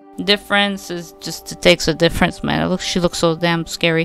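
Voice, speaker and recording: With music in the background, a woman speaks at a fairly slow pace in a fairly low voice. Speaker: digital artist. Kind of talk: casual screen-recording tutorial. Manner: audible effortful breathing.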